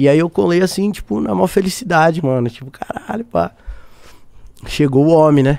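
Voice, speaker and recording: At a moderate pace, the speech is broken by long, frequent pauses. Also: man, fairly high pitch for a man. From Brazil. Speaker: singer-songwriter; podcast guest. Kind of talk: casual interview chat. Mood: relaxed storytelling. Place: studio. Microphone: studio mic.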